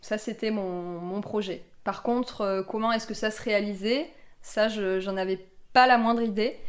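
A woman's fairly high voice with fairly even intonation at a fairly slow pace. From rural France. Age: 30s. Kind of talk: interview testimony. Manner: hesitant, many fillers.

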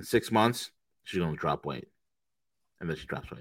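With a very deep, low pitch and an animated tone, a man speaks at a very fast pace with ordinary pitch variation in a very clean recording with a silent background. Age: 40s. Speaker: trading podcast co-host. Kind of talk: casual chat.

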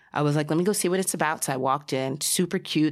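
A woman with a Spanish accent and a very deep, low pitch, on a very clean recording with a silent background. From New Jersey, US. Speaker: sommelier and beverage director. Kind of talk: casual interview chat.

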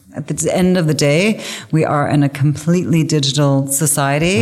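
A woman speaks with a Canadian accent at a moderate pace. Her pitch is very deep and low, with ordinary pitch variation. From English-speaking Canada. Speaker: business executive. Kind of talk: interview.

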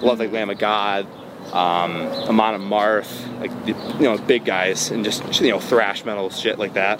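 Over noticeable background noise, a man with an American accent speaks at a medium pitch. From US Midwest, Metro Detroit, Michigan. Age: 20s. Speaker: electronic music producer. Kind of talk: interview. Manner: casual, filler-heavy.

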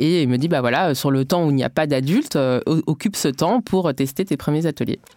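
Very deep and low in pitch, this woman's voice has a dark, mellow tone and lively intonation. She talks at a fairly quick pace with very even loudness. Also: dry, close sound with no echo. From Bondy, Paris suburbs. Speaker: education startup founder. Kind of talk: interview.

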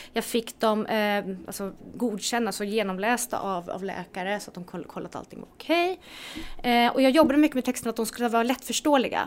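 A woman with a plain, everyday voice speaks at a fairly quick pace and a fairly high pitch. Her intonation is lively, and her loudness swings a lot. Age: 40s. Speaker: health entrepreneur. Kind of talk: casual interview.

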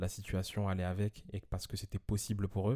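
A man's dark, mellow voice at a fairly low pitch and moderate pace, in a very clean recording with a silent background. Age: 20s. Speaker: podcast guest, host's friend. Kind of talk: casual chat.

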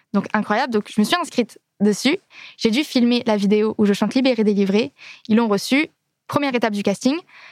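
The speaker moves at a fairly quick pace with ordinary pitch variation and very even loudness. Long, frequent pauses break up the speech. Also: woman, fairly high pitch for a woman. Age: 20s. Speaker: singer in a theme park musical. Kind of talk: casual interview.

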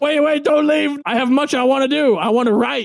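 A man performs a put-on character voice at an extremely high pitch. He keeps a moderate pace over light background noise. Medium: actual play. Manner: earnest, dramatic, needy.

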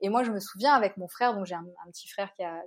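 In a plain, everyday voice, a woman speaks at a fairly quick pace. Her pitch is medium, with ordinary pitch variation. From Réunion, east (Bras-Panon, Saint-André). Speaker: journalist and travel blogger. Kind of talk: casual interview.

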